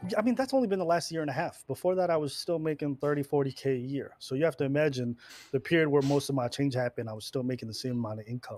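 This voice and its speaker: A man talks very fast, his voice fairly high and his pitch varying in an ordinary way. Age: 30s. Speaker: streamer and YouTuber, military veteran. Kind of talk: casual podcast conversation.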